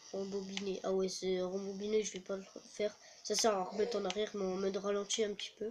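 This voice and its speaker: At a fairly quick pace, a man with a high pitch speaks in a monotone, flat intonation. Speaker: gaming youtuber. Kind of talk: gameplay commentary. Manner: soft-spoken.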